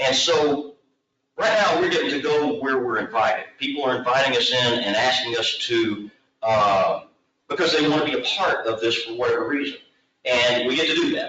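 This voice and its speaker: With an American accent, a man speaks in a normal speaking voice, fairly high pitched, at a moderate pace with lively intonation. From Texas. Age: 60s. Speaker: long-distance trail developer and hiker. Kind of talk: presentation at public committee meeting.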